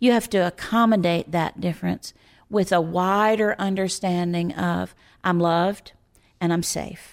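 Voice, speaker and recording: In a very clean recording with a silent background, a woman with a plain, everyday voice speaks fairly slowly, her pitch fairly low and her intonation fairly even. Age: 60s. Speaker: Enneagram teacher. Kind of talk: interview conversation.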